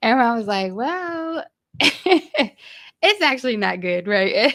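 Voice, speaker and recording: A woman speaks with an American accent and very wide pitch swings. The recording is very clean, with a silent background. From US Virginia/North Carolina area. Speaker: podcast host. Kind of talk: casual interview.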